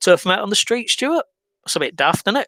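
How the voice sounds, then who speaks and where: In an English accent, a man speaks with lively intonation and a bright, sharp tone, captured dry and close with no echo in a very clean recording with a silent background. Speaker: video blogger. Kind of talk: scripted monologue complaint. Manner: hesitant, many fillers.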